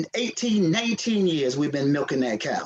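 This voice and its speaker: A man speaks with a Southern US accent, keeping to a moderate pace. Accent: Southern US (Georgia). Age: 60s. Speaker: city council member. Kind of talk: council meeting remarks. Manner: halting, repetitive.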